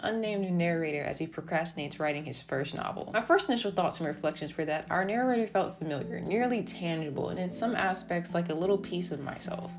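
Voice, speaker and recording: Mumbling at a very fast pace, a woman with an American accent speaks at a fairly low pitch. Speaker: book reviewer. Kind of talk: book review narration.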